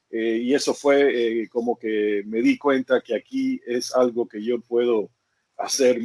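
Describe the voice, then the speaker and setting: A man speaks in a flat, monotone way. The sound is dry and close, with no echo. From Cuba, moved to the US as a child. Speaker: karate teacher. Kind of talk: interview. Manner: halting.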